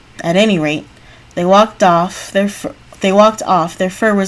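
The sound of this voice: This is read in an unforced reading voice.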